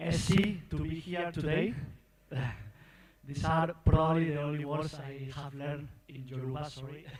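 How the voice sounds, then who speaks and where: A fairly high-pitched man with a non-native accent, fairly even intonation and big swings in loudness, at a moderate pace with long, frequent pauses, amid audible room echo and noticeable background noise. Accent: foreign accent in English. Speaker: pig industry expert. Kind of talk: goodwill speech. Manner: halting.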